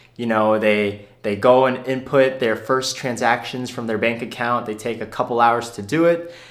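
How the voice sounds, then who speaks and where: A man's medium-pitched voice with fairly even intonation, hardly any pauses, and audible room echo. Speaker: personal finance youtuber. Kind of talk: unscripted video Q&A. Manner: fast, rapid-fire.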